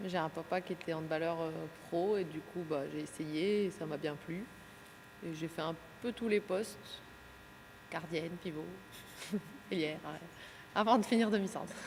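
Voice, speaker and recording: A woman speaks at a fairly low pitch with ordinary pitch variation. Her pace is moderate, broken by long, frequent pauses. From France, Besançon. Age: 20s. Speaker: handball player. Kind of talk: interview.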